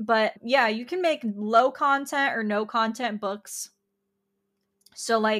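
The recording is very clean, with a silent background. The speaker has an ordinary speaking voice with ordinary pitch variation and a fairly slow pace. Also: woman. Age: 20s. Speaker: podcast host and artist. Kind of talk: solo podcast monologue. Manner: casual, chatty with frequent fillers; laughs often.

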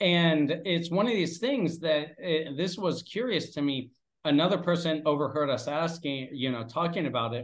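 At a moderate pace, a man talks in a fairly high voice with ordinary pitch variation and a Pennsylvania accent. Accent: American (Pennsylvania). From Pennsylvania, US. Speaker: English teacher and father. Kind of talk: casual interview chat.

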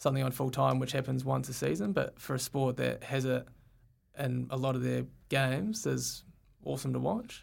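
The speaker is a man with a New Zealand accent. He talks at a moderate pace. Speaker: field hockey player. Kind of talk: casual interview. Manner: hesitant, many fillers.

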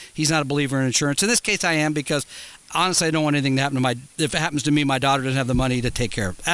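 The man has a fairly high pitch and a bright, sharp tone. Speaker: financial radio co-host. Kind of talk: call-in radio show. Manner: energetic, like a top 40 disc jockey.

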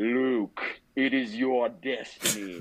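A man's put-on character voice at a medium pitch. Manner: menacing, dramatic.

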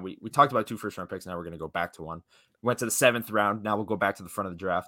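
Very fast and lively, a man's fairly low voice has a bright, sharp tone in a very clean recording with a silent background and a dry, close sound with no echo. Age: 20s. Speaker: hockey podcast host. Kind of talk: casual chat.

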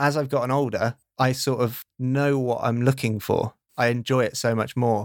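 A man with a British accent speaks at medium pitch and a moderate pace, in a monotone, flat intonation with very even loudness. The sound is dry and close, with no echo. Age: 30s. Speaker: podcast producer. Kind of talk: casual chat.

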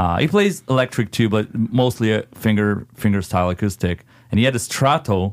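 A man's fairly low voice with an Italian accent, ordinary pitch variation and a moderate pace, on a very clean recording with a silent background. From Italy. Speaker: metal band vocalist. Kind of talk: casual interview.

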